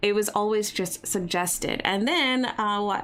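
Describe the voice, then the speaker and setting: A woman talks in a normal speaking voice at a medium pitch, with ordinary pitch variation. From US, Baltimore area. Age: 30s. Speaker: YouTuber. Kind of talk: live stream Q&A chat. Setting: live stream. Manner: casual, rambling.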